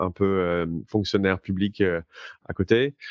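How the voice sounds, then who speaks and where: A man's very deep, low voice, dry and close with no echo, against a quiet background. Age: 30s. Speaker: blockchain entrepreneur. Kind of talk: interview. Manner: halting, many fillers.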